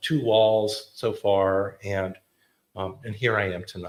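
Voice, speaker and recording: A man with a New Jersey accent. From US Northeast, Clifton, New Jersey. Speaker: photographer. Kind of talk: artist talk. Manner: casual.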